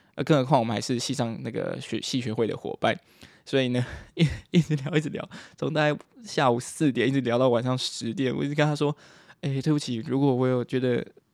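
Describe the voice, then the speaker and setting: A man at a medium pitch, with ordinary pitch variation and a very fast pace. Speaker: podcaster, university student. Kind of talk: casual monologue. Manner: animated.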